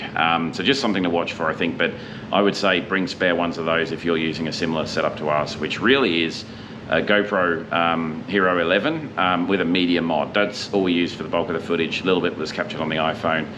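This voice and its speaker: A man with an Australian accent at a very fast pace, very deep and low in pitch with ordinary pitch variation, plus noticeable background noise and audible room echo. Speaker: motorcycle vlogger. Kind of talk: casual chat. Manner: halting; talkative.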